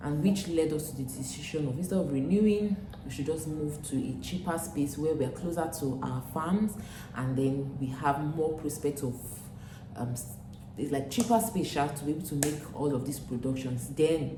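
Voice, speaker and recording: Over noticeable background noise and audible room echo, a woman with a Nigerian accent speaks at a moderate pace in a very deep, low pitch with ordinary pitch variation. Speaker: vlogger, former teacher. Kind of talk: casual vlog talk to camera. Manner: hesitant, with fillers.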